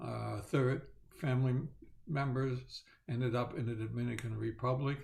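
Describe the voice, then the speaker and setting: Somewhat breathy male voice at a medium pitch, moderate pace and fairly even intonation. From Netherlands. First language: Dutch and German. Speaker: Holocaust survivor. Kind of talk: testimony. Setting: video call. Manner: halting, many fillers.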